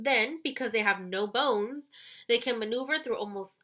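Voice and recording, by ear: Someone is reading aloud in a natural voice, and the pitch varies in an ordinary way.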